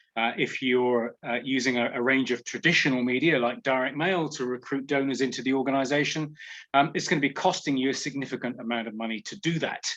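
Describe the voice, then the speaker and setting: A very fast-talking man with a British accent, medium pitch and fairly even intonation. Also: quiet background. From England. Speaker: professor. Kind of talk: webinar lecture.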